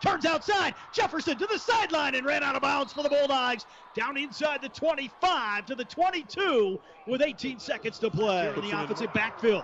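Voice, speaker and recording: This man speaks at an extremely high pitch with lively intonation and an energetic, excited tone, over noticeable background noise. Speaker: play-by-play commentator. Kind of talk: live sports commentary, play-by-play of a football game. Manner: fast, energetic play-by-play delivery, excited on big plays.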